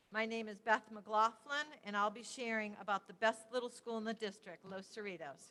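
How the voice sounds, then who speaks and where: A woman with a fairly high pitch and ordinary pitch variation speaks at a moderate pace with hardly any pauses and big swings in loudness, an ordinary speaking voice. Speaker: school principal. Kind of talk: presentation at board meeting. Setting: public board meeting, at a microphone.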